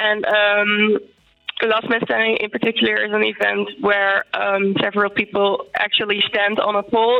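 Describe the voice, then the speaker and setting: Her intonation stays fairly even at a medium pitch. The woman talks at a fairly slow pace. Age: 20s. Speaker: mental health activist and psychology student. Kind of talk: interview. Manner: halting, many fillers.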